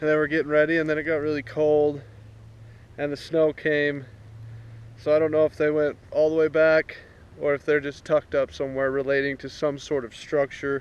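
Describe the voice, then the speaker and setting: A man at a fairly quick pace with monotone, flat intonation and a dry sound with no echo. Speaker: fishing vlogger. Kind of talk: casual vlog chat. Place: waterside. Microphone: phone near.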